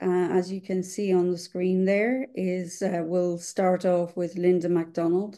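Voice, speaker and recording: Over a quiet background, a woman speaks in a dark, mellow tone. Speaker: webinar moderator. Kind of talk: webinar introduction. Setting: video call. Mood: warm, enthusiastic. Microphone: webcam.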